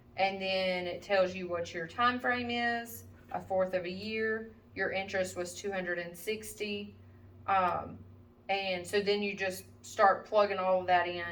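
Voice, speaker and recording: A woman's medium-pitched voice, fairly even in intonation and fairly slow in pace, with audible room echo. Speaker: math teacher. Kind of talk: tutorial. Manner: casual, with many fillers.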